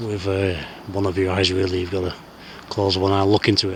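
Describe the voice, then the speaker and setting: A man with a strong Lancashire accent speaks at a very deep, low pitch. Noticeable background noise is present. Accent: broad Lancashire. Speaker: outdoor skywatching vlogger. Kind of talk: solo outdoor vlog narration. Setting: outdoors on hilltop moorland at night. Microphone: camera's built-in audio.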